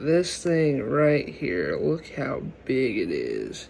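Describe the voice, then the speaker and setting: The voice is quiet and moves at a very slow pace. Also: man. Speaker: gaming and nature video creator. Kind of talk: casual vlog commentary. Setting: home at night, filming an insect.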